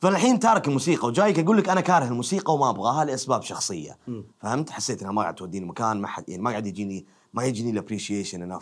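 Talking very fast, a man with a fairly low voice uses lively intonation. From Saudi Arabia, Dammam. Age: 20s. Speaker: actor and stand-up comedian. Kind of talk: casual interview chat.

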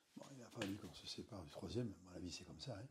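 A Basque Country accent colors this dark, mellow, somewhat breathy voice. The pace is fairly quick. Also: man. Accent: local Basque-country French. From French Basque Country. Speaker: beach bar owner, retired civil servant. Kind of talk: interview. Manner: halting.

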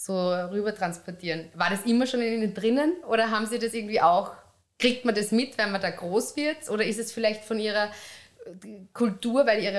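Speaking in a plain, everyday voice, a woman at a moderate pace and fairly high pitch shows ordinary pitch variation. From Upper Austria. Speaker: podcast host, magazine editor. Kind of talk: interview.

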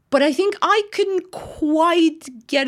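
Speaking at a very slow pace with a slight Russian accent, a woman comes through on a very clean recording with a silent background. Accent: light Russian-accented English. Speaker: actor and writer. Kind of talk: casual interview. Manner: animated.

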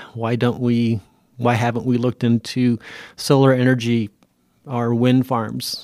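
A man's medium-pitched, dark and mellow voice, monotone and flat, on a very clean recording with a silent background and a dry, close sound free of echo. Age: 50s. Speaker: political candidate. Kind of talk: interview.

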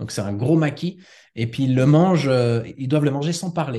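A man's dark, mellow tone at a moderate pace, with ordinary pitch variation. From Switzerland, father from Ticino. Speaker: home cook who lived in Japan. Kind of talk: podcast interview. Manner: hesitant, many fillers.

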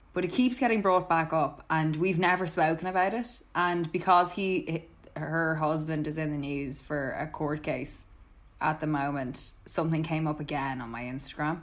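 In an Irish accent, a woman speaks at a moderate pace with a very deep, low pitch and ordinary pitch variation. The recording is very clean, the background silent. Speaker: podcast co-host. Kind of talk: casual chat.

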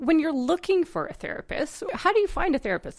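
A woman's pitch swings very widely. Noticeable background noise can be heard. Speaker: therapist and podcast host. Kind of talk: casual chat.

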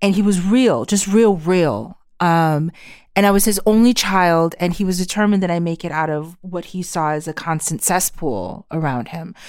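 A woman with a fairly low pitch speaks at a moderate pace in an animated tone with ordinary pitch variation, on a very clean recording with a silent background. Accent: American. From New York City. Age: 40s. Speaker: writer and homeschooling mother. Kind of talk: casual conversation. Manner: animated, frank, profane.

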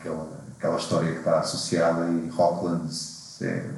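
Against noticeable background noise and audible room echo, a man with a very deep, low pitch speaks at a moderate pace. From Portugal, Lisbon area. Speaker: climber and guidebook author. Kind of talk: casual chat.

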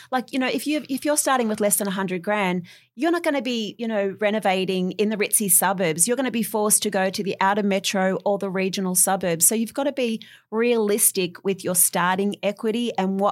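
Speaking with an Australian accent, a woman talks at a fairly quick pace. Her medium pitch shows ordinary variation. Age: 40s. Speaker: property renovator. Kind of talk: interview.

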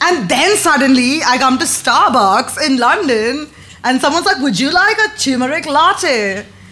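Amid noticeable background noise, a woman speaks at a moderate pace in a raised, projected voice with a high pitch, very wide pitch swings and very even loudness. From India, Mumbai. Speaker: comedian. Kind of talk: casual chat before live audience. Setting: comedy club with live audience.

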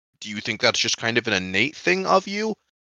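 A man with a bright, sharp tone and very wide pitch swings, in a dry, close sound with no echo. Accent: American. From Colorado. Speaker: podcast host. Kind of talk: casual chat.

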